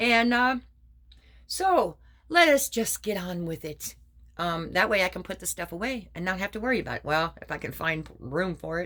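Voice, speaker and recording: With a bright, sharp tone and medium pitch, a woman speaks at a moderate pace using lively intonation and big swings in loudness. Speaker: craft vlogger. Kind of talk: casual chat.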